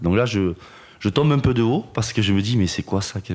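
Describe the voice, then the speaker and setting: In a Toulouse accent, a man talks at a moderate pace with ordinary pitch variation. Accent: southern French (Toulouse). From Toulouse region, southwest France. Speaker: wealth management engineer, trained accountant. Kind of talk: podcast interview answer. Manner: hesitant, many fillers.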